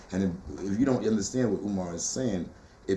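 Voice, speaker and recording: A man's animated voice, fairly low in pitch with ordinary pitch variation, at a fairly quick pace amid audible room echo. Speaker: poet and teacher. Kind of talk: interview.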